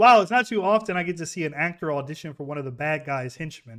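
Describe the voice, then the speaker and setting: A man with an unremarkable speaking voice talks at a fairly quick pace, his fairly high pitch moving with lively intonation on a very clean recording with a silent background. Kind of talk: reaction commentary. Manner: casual.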